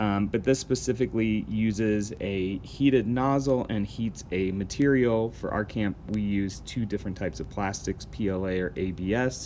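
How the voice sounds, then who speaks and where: A man with an unremarkable speaking voice, fairly low in pitch, at a moderate pace with hardly any pauses. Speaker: camp instructor. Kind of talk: tutorial.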